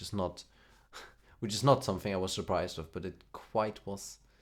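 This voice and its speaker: A man with a German accent on a very clean recording against a silent background. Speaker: music streamer. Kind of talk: casual chat. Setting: live stream. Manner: halting.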